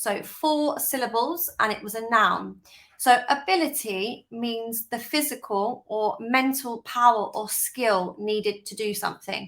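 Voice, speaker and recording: A woman with a British accent talks at a fairly slow pace with hardly any pauses, her fairly high pitch showing ordinary variation while her loudness swings widely. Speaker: English teacher. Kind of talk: tutorial.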